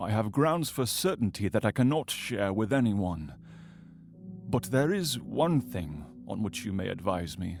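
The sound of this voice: A man puts on a character voice, fairly low-pitched with big swings in pitch and some vocal fry, speaking at a fairly slow pace over faint background music in a very clean recording with an otherwise silent background.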